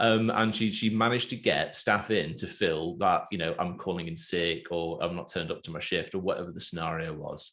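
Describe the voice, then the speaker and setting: With an English accent, a man speaks at a very deep, low pitch and a fairly quick pace, with hardly any pauses. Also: ordinary pitch variation. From England. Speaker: podcast host. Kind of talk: casual interview.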